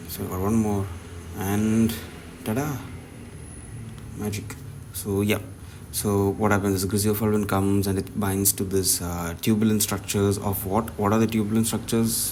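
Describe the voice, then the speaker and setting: Amid noticeable background noise and audible room echo, a man with a fairly low pitch speaks at a moderate pace in monotone, flat intonation, leaving long, frequent pauses. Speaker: pharmacology tutor. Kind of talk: tutorial. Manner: halting.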